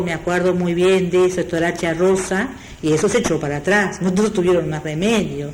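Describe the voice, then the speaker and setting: A woman with a Uruguayan accent, medium pitch and moderate pace, with audible room echo and noticeable background noise. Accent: Rioplatense Spanish (Uruguayan). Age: 60s. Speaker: retired textile worker and union member. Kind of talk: oral history interview. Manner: halting.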